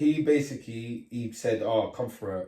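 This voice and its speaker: Somewhat breathy and dark, mellow in tone, a man speaks at a fairly slow pace with a medium pitch. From Leeds, Chapeltown, northern England. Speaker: grime MC. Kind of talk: casual interview chat. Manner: animated storytelling.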